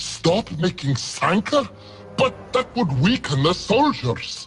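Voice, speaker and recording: A man puts on a character voice, pitched high and making very wide pitch swings. He speaks at a fairly slow pace. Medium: video game. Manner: formal, stilted.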